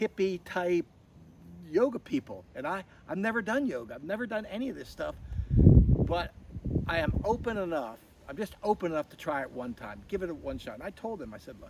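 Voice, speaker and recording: Noticeable background noise sits behind a man with an American accent talking at a fairly quick pace. His tone is animated, with very wide pitch swings. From US East Coast, Baltimore, Maryland. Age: 60s. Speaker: retreat participant, business owner. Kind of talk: testimony.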